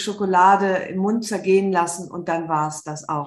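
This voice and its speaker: A woman speaks at a medium pitch with ordinary pitch variation, and audible room echo surrounds her voice. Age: 50s. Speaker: author and journalist. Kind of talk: interview.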